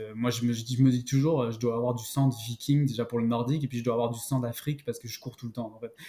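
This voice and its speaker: A man's medium-pitched, somewhat breathy voice with a dark, mellow tone, flat, monotone intonation, a very fast pace and hardly any pauses. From France, Paris region (Val d'Oise). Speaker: outdoor gear marketing specialist. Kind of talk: interview. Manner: halting, many repetitions.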